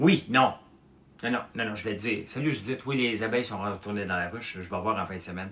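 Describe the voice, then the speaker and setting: A man with a Quebec accent, a bright, sharp tone, ordinary pitch variation and a fairly quick pace. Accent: Québécois French. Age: 50s. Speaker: entrepreneur and farmer livestreamer. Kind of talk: casual livestream chat. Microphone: no microphone, uncharged.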